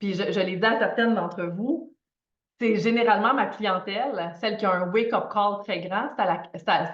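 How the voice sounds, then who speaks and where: With a Quebec accent, a woman of medium pitch speaks at a fairly slow pace. Audible room echo surrounds her voice. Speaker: financial coach. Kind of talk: live online masterclass. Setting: livestream video. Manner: animated.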